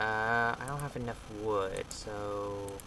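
Very slow speech over loud background noise. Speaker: gamer. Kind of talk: casual gameplay commentary. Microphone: camera far.

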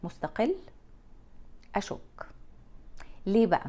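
Speaking at a very slow pace, a woman uses a fairly high pitch and a dark, mellow tone with vocal fry. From Egypt. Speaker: lifestyle vlogger. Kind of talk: casual monologue to camera. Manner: animated. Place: home room. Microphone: lapel.

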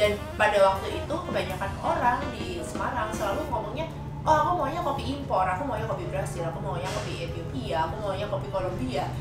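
A woman talks at a very fast pace, with audible room echo and clear music in the background. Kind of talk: interview answer. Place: workshop.

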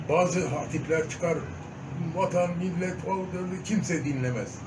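A man speaks with a high pitch and ordinary pitch variation. Noticeable background noise runs under his voice. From Diyarbakır, Turkey. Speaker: stage and film actor. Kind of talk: interview answer. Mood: earnest, reflective. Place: home room. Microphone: phone near.

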